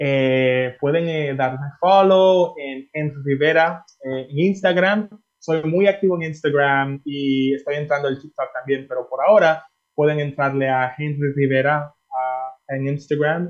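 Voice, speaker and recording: The man speaks fairly slowly, with hardly any pauses. His pitch is fairly high and his intonation fairly even. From Miami, US. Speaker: singer. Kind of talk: interview.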